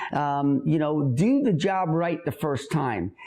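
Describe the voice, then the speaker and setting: There is noticeable background noise as a man talks at a fairly slow pace. His pitch is fairly high. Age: 50s. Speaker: entrepreneur. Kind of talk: interview. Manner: energetic; repetitive stammering starts.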